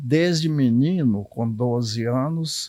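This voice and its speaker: Dry and close with no echo, a man speaks at a very slow pace with a medium pitch and ordinary pitch variation. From Minas Gerais, Brazil (Curvelo region). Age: 80s+. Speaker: retired civil servant and writer. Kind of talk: interview testimony.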